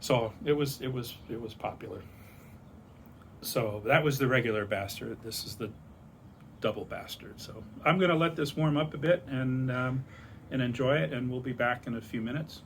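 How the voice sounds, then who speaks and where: In an American accent, a man speaks at medium pitch, somewhat breathy, with ordinary pitch variation. His pace is moderate, with long, frequent pauses. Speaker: beer enthusiast vlogger. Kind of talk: casual monologue. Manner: rambling with many fillers.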